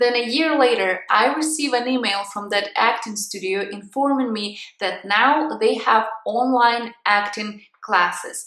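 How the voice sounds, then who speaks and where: A woman with a European accent speaks at a fairly slow pace. Her pitch is fairly high, with ordinary pitch variation. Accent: European accent, reduced but still present. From Ukraine. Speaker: vlogger. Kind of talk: casual vlog talk to camera.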